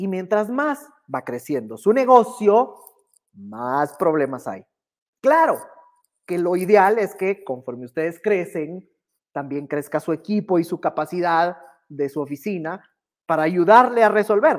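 A man talks at a fairly slow pace with long, frequent pauses against a quiet background. His pitch is high and swings very widely. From Guatemala. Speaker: business instructor. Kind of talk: online workshop lecture. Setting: livestream. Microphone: earbuds.

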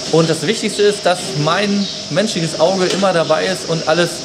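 A man keeps a moderate pace while loud noise fills the background. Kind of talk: casual vlog chat. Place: farm machine.

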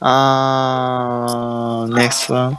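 A man speaks with a Japanese accent at a medium pitch. The sound is dry, with no echo. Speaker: English learner. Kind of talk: language lesson. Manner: halting. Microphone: video call.

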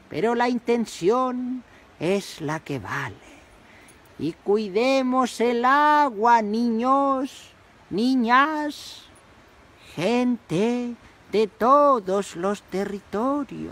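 The speaker uses a cartoonish character voice at a fairly high pitch. The pace is very slow, with long, frequent pauses. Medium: puppet. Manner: slow, solemn.

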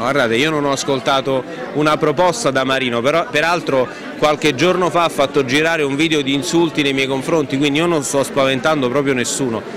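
The voice moves at a fairly quick pace with very even loudness and fairly even intonation, in a dry sound with no echo and noticeable background noise. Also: man, fairly high pitch for a man. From Caserta, Campania, Italy. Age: 30s. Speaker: politician, mayoral candidate. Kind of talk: campaign interview. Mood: firm, rebutting. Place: hall.

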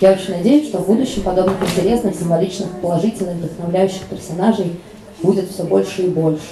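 Over noticeable background noise, a woman with a medium-pitched voice talks at a very fast pace with fairly even intonation. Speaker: panel moderator. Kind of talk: panel discussion. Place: hall.

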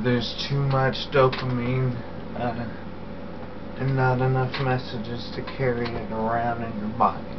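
A man speaks at a very slow pace in a monotone, flat intonation. Noticeable background noise runs underneath. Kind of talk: personal video diary explanation. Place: home room. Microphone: webcam.

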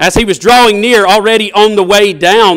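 With a Southern US accent, a man talks at a moderate pace in a bright, sharp tone against a quiet background. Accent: Southern US twang. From US South. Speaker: preacher. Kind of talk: sermon. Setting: church. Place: church.

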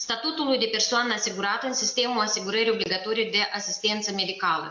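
A woman's fairly high voice amid noticeable background noise. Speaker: health and social protection minister. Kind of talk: formal briefing.

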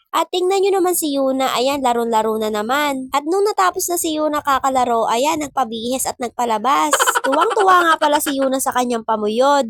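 A woman speaks at a high pitch with lively intonation. She moves at a fairly quick pace with hardly any pauses, in a dry, close sound with no echo. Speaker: family vlogger. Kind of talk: scripted narration.

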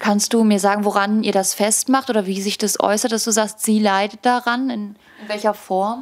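Her pitch fairly high, a woman talks at a moderate pace with monotone, flat intonation. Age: young. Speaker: volunteer interviewer. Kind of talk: interview questions. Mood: gentle, respectful. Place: home room. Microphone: handheld.

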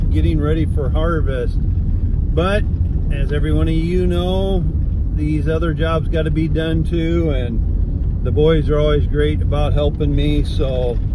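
With noticeable background noise but a dry sound with no echo, a man speaks at a fairly slow pace. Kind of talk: casual vlog chat. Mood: reflective, a bit weary. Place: car. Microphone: phone near.

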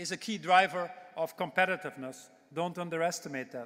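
A man's high voice at a fairly quick pace against a quiet background. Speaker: speaker. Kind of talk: keynote speech, then panel answer. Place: hall. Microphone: podium.

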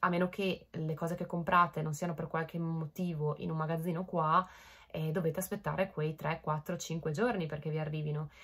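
Over a quiet background, a woman talks in a fairly low, somewhat breathy voice at a moderate pace with fairly even intonation. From Italy. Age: 20s. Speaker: vlogger. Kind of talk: casual chat to camera. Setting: bedroom, home recording. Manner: hesitant, many fillers.

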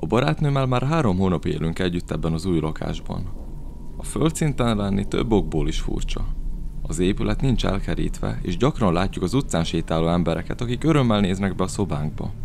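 A man with a very deep, low pitch talks at a fairly quick pace, his pitch swinging very widely. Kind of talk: horror narration, first-person storytelling.

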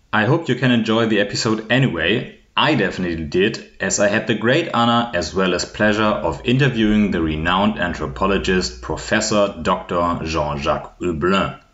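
With a German accent and a fairly low pitch, a man speaks at a moderate pace with hardly any pauses, lively intonation and very even loudness. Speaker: podcast host. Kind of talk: scripted intro.

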